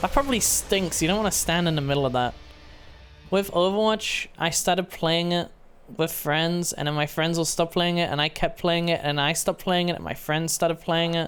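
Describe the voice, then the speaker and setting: The speech moves at a fairly quick pace with music playing in the background. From Britain. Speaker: streamer. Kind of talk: live gameplay commentary. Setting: live stream.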